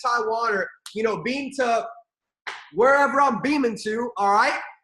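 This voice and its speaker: Speaking in a raised, projected voice with an animated tone, this speaker has an American accent. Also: man. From Armenian heritage. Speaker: network marketing leader. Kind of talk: motivational training call. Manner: fast.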